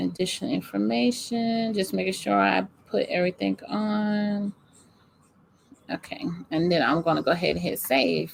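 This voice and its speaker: A woman talks in a Southern US accent. Her pace is moderate. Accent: country, says y'all. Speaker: small business coach. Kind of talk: live screen-share tutorial. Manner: casual, many fillers.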